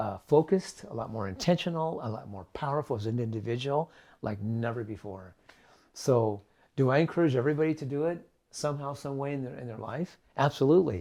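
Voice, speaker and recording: A man with an American accent, medium pitch, dark, mellow tone, lively intonation, fairly quick pace and big swings in loudness on a very clean recording with a silent background. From California. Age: 70s. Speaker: raw food health teacher. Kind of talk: interview.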